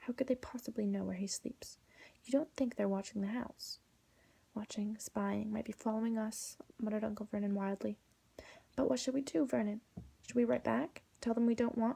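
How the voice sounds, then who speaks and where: Speaking at a moderate pace, a woman has a fairly high pitch, a somewhat breathy quality and a dark, mellow tone. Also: ordinary pitch variation. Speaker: ASMR artist. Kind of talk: whispered audiobook reading. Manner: whispered, soft-spoken.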